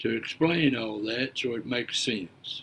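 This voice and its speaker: A man with an Appalachian accent at a fairly slow pace. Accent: Southern US (Appalachian). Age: 70s. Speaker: preacher, storyteller. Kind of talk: casual monologue. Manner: halting, repeats words.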